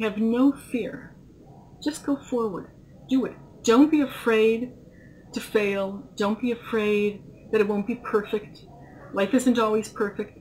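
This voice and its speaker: Light background noise sits behind a woman speaking with fairly even intonation. She leaves long, frequent pauses. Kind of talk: interview answer.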